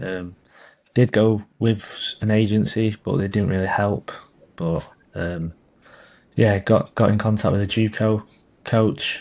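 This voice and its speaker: Against a silent background on a very clean recording, a man with an English accent talks at a fairly slow pace with fairly low pitch, fairly even intonation, and long, frequent pauses. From England. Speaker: college soccer player. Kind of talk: interview. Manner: halting.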